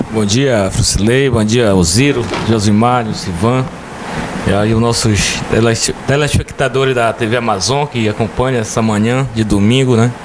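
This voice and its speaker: A man's medium-pitched voice, fairly slow and with fairly even intonation and very even loudness, amid noticeable background noise and audible room echo. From Brazil, Ceará (Chaval), moved to Pará as child. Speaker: mayor. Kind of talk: interview. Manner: hesitant, many fillers.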